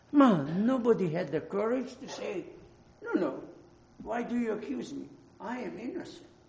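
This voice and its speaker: A man speaks at a high pitch with very wide pitch swings, big swings in loudness and long, frequent pauses. Noticeable background noise sits behind him. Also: moderate pace. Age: 80s. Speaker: preacher. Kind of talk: sermon. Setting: church.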